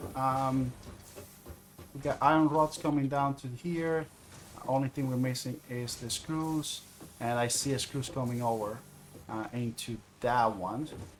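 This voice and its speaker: Fairly slow and marked by long, frequent pauses, a man speaks with a non-native accent. His medium-pitched voice keeps a fairly even intonation. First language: not English. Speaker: video game streamer. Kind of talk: gameplay livestream commentary. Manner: halting, many fillers.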